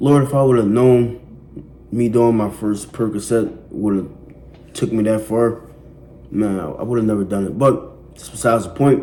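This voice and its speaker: Long, frequent pauses break up a man's speech, which swings widely in loudness against audible room echo. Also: medium pitch for a man, ordinary pitch variation, moderate pace. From West Philadelphia. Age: 20s. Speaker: person in addiction recovery. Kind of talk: testimony. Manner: casual, conversational with fillers.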